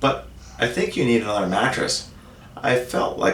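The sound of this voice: This reading voice is unforced, with intonation that stays fairly even.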